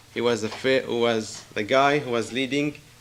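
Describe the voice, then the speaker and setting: Noticeable background noise sits behind a man of medium pitch who speaks at a moderate pace with monotone, flat intonation. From Israel, Galilee. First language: not English (English is third language). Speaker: church visitor giving testimony. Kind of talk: testimony. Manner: halting.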